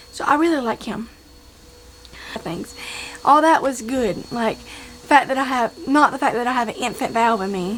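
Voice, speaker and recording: With noticeable background noise behind her, a woman speaks in a high pitch with ordinary pitch variation. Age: 20s. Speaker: vlogger, heart patient. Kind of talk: casual vlog talk. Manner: casual, repetitive.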